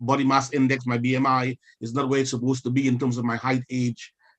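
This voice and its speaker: A man speaks at a medium pitch. His intonation stays flat and monotone. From Caribbean islands. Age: 60s. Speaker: clergyman on a discussion panel. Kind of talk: panel discussion. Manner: halting, with many fillers.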